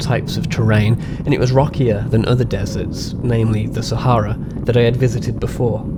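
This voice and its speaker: A man with a West Midlands accent at a medium pitch and fairly quick pace, audible room echo, noticeable background noise. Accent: West Midlands English, stronger when excited. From England, West Midlands. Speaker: birding vlogger. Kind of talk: scripted narration with vlog segments.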